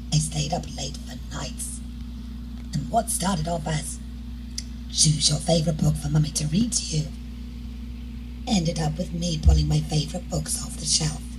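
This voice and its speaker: Amid noticeable background noise and audible room echo, a woman with a very deep, low pitch talks at a moderate pace with fairly even intonation and long, frequent pauses. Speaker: cancer survivor. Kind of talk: testimony.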